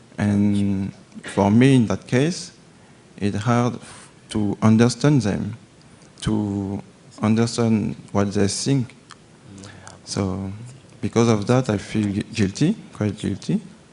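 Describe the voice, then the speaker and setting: Very slow speech in a French accent, with long, frequent pauses and noticeable background noise. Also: man, fairly low pitch for a man, ordinary pitch variation. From France. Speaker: agricultural volunteer. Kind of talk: audience question at a Q&A. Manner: hesitant, halting.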